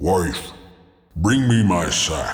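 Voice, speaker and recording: A man growls in a put-on character voice, his pitch very deep and low. Clear echo surrounds the sound. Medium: audio drama. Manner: bellowing, commanding.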